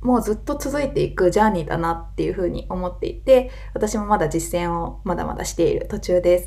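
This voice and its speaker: A woman's voice carries audible room echo. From Wakayama, Japan. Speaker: podcast host and yoga teacher. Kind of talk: casual monologue.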